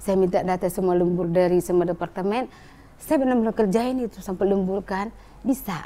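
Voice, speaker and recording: Her tone is dark and mellow, and the speaker is a woman. She moves at a fairly quick pace with ordinary pitch variation. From North Sumatra (Batak). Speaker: business owner sharing life story. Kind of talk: testimony. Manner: animated.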